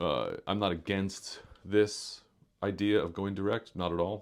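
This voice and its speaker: In a very clean recording with a silent background, a man's very deep, low pitch comes through. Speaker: musician, guitarist. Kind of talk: casual vlog talk. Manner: halting, many fillers.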